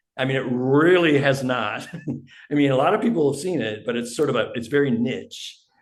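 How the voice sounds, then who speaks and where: A man speaks with ordinary pitch variation. Audible room echo surrounds the recording. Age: 70s. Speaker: indie musician. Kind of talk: interview.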